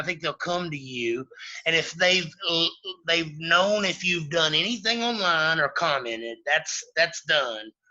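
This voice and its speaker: Lively intonation from a man with a high pitch and a Southern Appalachian accent, at a moderate pace. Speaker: former freemason. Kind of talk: podcast interview. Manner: halting.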